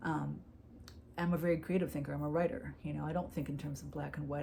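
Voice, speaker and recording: A woman is talking. Audible room echo surrounds her voice. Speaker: YouTuber discussing personal disorder. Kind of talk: personal vlog monologue. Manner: fast; casual, filler-heavy.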